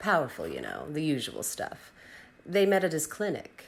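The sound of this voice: A woman does a put-on character voice at a moderate pace, low in pitch with vocal fry. Her pitch swings are very wide.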